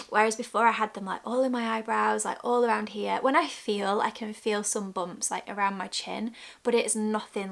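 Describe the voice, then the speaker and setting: A woman with a British accent talks at a fairly quick pace in a fairly high pitch. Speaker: lifestyle vlogger. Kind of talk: casual vlog talk. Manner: pausing often, interrupted by burps.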